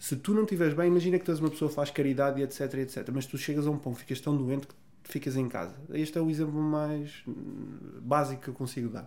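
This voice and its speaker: At a very fast pace, a man talks in a fairly high pitch with a dark, mellow tone. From northern Portugal, Vila Real. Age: 30s. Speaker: pro bodybuilder and online fitness coach. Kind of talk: casual interview chat.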